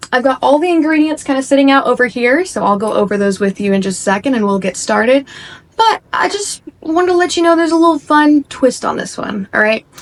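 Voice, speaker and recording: Over noticeable background noise, a woman speaks very fast in a high pitch with very wide pitch swings. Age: 20s. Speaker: cooking video creator. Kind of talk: baking tutorial. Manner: casual.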